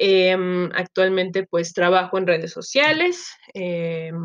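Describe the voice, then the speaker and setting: A woman at a medium pitch and a fairly slow pace. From Mexico, Chiapas. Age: 30s. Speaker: podcaster, social media marketer. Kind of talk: casual solo monologue, self-introduction. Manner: many filler words (este, eh), hesitant.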